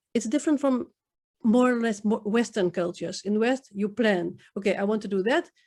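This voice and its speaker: A woman speaks with a Dutch accent and a fairly high pitch. Her pitch varies in an ordinary way. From Netherlands, Indo community. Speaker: poet. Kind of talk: interview. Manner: halting.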